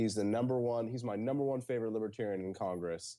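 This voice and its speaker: A man speaks in a medium pitch with a dark, mellow tone. His pitch varies in an ordinary way. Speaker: libertarian blogger and editor. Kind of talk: casual chat. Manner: fast, frantic.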